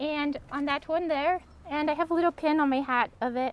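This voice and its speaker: A woman with a Montana accent speaks in a squeaky voice at an extremely high pitch. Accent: American (Montana). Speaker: artist. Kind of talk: artist talk. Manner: hesitant, many ums.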